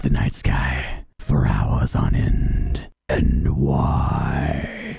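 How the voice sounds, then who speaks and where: A man performs a put-on character voice. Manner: dramatic, gothic.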